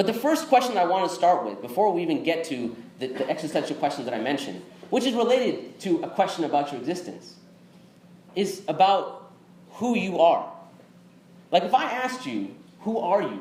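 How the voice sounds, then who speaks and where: Against noticeable background noise and audible room echo, a man with a high pitch talks at a fairly quick pace, making very wide pitch swings and taking long, frequent pauses. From Texas. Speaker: Islamic speaker. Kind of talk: interactive lecture. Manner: conversational.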